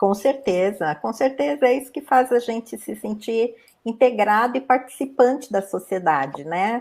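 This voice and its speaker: A plain, everyday voice with lively intonation speaks at a moderate pace. The recording is very clean, with a silent background. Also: woman, fairly high pitch for a woman. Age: 60s. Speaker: panel moderator, polio survivor. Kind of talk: panel discussion.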